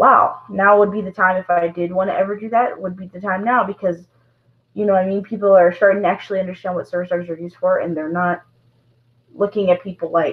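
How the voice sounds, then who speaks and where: A woman talks at a very fast pace with monotone, flat intonation and a medium pitch. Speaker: vlogger with service dog. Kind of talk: live stream monologue. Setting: live stream to camera. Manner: halting.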